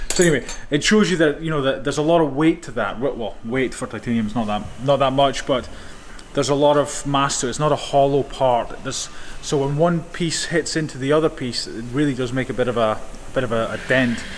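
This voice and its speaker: A man with a fairly high pitch talks fairly quickly, his pitch varying in an ordinary way. Background noise is noticeable throughout. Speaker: knife maker and YouTuber. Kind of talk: casual workshop vlog. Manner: fast.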